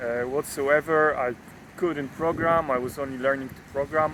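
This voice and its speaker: Through noticeable background noise, a man talks at a fairly high pitch with ordinary pitch variation. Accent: non-native. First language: not English. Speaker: data scientist and YouTuber. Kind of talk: casual vlog monologue. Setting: outdoors. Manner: halting, many fillers.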